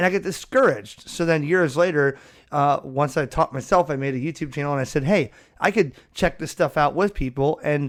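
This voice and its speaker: An unremarkable speaking voice moves at a fairly quick pace with ordinary pitch variation, recorded very cleanly against a silent background. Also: man. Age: 30s. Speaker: ham radio podcast host. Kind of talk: casual interview chat. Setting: podcast recording.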